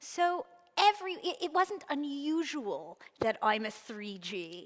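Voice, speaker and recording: A woman speaks very slowly at a high pitch. Her pitch swings very widely. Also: big swings in loudness. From Canada, Montreal (anglophone Quebec). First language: Yiddish. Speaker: author. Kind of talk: onstage interview. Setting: stage with audience. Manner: halting, many restarts.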